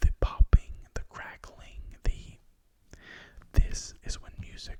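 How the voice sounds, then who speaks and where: Whispering, a man talks at a fairly slow pace. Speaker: ASMR creator. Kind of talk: ASMR record haul talk. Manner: soft-spoken.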